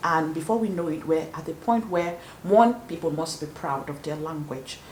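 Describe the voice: A woman speaks at a moderate pace in a low pitch, with ordinary pitch variation. Her tone is slightly mellow, and there is audible room echo.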